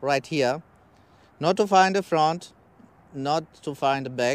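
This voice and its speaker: A man with a non-native accent at a moderate pace, with ordinary pitch variation and a dry sound with no echo. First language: not English. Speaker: travel vlogger. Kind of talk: tutorial vlog. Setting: outdoors, riding a bike with wind. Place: open country. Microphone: lapel.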